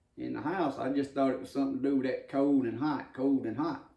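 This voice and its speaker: A man with a dark, mellow tone speaks at a very fast pace with fairly even intonation. There is audible room echo over a quiet background. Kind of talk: casual vlog chat. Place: kitchen.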